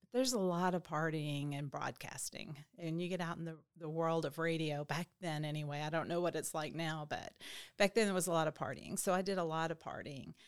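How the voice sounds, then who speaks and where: A woman with a Southern US accent speaks at a fairly quick pace and fairly low pitch. Her pitch varies in an ordinary way, and the recording is very clean with a silent background. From Arkansas (Little Rock). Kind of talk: testimony.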